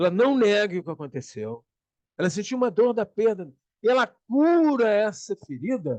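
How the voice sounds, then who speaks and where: Dry and close with no echo, a man's high-pitched voice moves at a moderate pace through very wide pitch swings. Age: 70s. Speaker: conversation circle co-host, self-knowledge speaker. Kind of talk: casual reflective talk.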